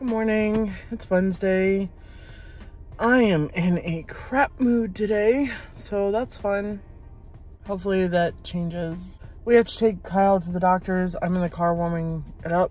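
Woman at a fairly slow pace, ordinary pitch variation, dry sound with no echo, faint music in the background. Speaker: vlogger. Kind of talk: casual vlog chat. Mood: low, in a bad mood. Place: car. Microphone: phone near.

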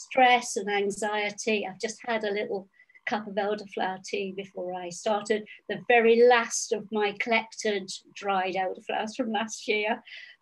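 Delivery is monotone with flat intonation at a moderate pace over a quiet background. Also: woman. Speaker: author and tree expert. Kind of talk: interview answer. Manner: calm, reflective, halting. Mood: warm, smiling. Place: home room. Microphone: video call.

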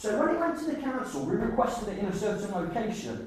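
Big pitch swings mark this fairly quick, slightly mellow delivery, heard with strong room echo.

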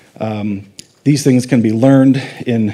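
Pitch variation is ordinary. The pace is moderate. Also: man. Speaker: conference speaker. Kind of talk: lecture. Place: hall.

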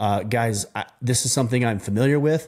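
Against a quiet background, a man speaks at a fairly quick pace. His pitch variation is ordinary. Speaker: podcast host. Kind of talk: solo podcast monologue. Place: studio. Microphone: studio mic.

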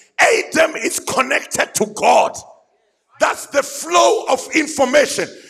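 Shouting in an animated tone with very wide pitch swings rises over crowd noise in the background. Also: man, extremely high pitch for a man, fairly slow pace. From South Africa. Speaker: pastor. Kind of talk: fiery call-and-response sermon to a men's gathering. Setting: church stage with live audience. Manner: animated, exhorting the crowd to shout back; repetitive, building emphasis through repeated phrases. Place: church. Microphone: handheld.

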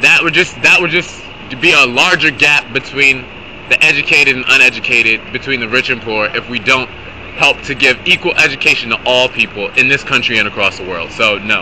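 There is noticeable background noise as a man talks with ordinary pitch variation. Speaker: rapper. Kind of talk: street debate. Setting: outdoors. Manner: halting. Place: street. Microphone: phone near.

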